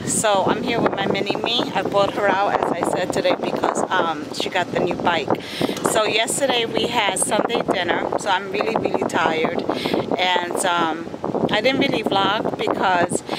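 The speech moves at a moderate pace with ordinary pitch variation. The sound is dry with no echo, but loud noise fills the background. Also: woman. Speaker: family vlogger. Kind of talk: casual vlog chat. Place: waterside. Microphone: phone near.

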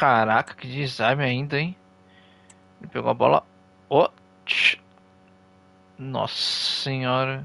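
With a Brazilian accent, the voice moves at a very slow pace with long, frequent pauses and big swings in loudness, in a dry, close sound with no echo and noticeable background noise. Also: man. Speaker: gaming streamer. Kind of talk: live gameplay commentary. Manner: animated.

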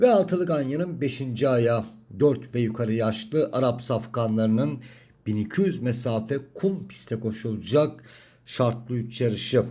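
A man's strained, somewhat breathy voice with a dark, mellow tone at a fairly slow pace. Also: medium pitch for a man, ordinary pitch variation. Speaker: horse racing tipster. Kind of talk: racing analysis monologue.

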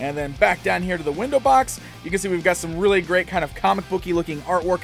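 Speaking at a fairly quick pace, a man is heard with faint music in the background. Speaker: toy reviewer. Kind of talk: product review commentary. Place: studio.

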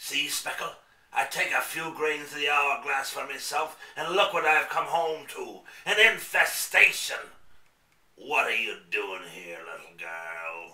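There is a slight echo as a man speaks at a fairly slow pace, his loudness rising and falling widely. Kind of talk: theatrical radio play villain. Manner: pompous, scheming.

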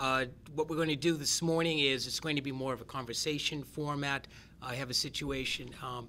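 The voice has a bright, sharp tone and a monotone, flat intonation, moving at a fairly quick pace over light background noise. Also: man. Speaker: event facilitator. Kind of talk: event introduction. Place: meeting room.

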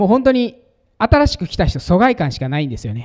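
Against a quiet background, a man with a Kansai accent speaks in a dark, mellow tone whose pitch swings very widely. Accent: Kansai Japanese. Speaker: pastor giving conference talk. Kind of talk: sermon or teaching talk. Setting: stage with audience. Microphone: handheld.

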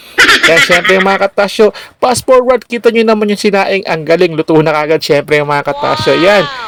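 A high-pitched man's voice at a moderate pace with lively intonation, noticeable background noise and a dry sound with no echo. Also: hardly any pauses. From Philippines. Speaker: truck driver vlogger. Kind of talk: casual vlog narration. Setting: inside a truck. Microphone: phone near.

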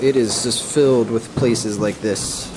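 A man's voice over clear background music. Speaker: travel vlogger. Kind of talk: casual vlog chat. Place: hall. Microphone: phone near.

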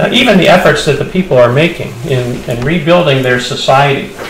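The speaker has an American accent and lively intonation at a moderate pace. Light background noise and audible room echo surround the voice. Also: man. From United States. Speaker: pastor. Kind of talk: church conference talk. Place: hall. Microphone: podium.

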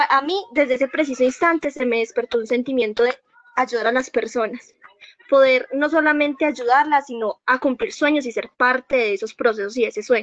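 A woman's high-pitched voice at a fairly quick pace, with ordinary pitch variation, a dry echo-free sound and a quiet background. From Colombia. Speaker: new university student. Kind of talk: self-introduction. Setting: video call. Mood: earnest, motivated. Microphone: video call.

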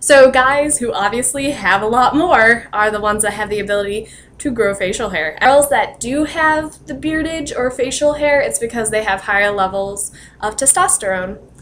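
A woman speaks with lively intonation at a moderate pace, with light background noise behind her. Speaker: vlogger. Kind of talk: casual vlog chat. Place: home room. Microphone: webcam.

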